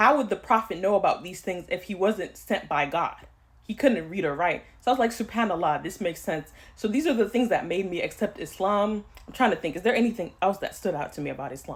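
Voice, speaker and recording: Big swings in loudness mark this woman's fairly quick speech. Her medium pitch carries lively intonation. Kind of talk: testimony. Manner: fast.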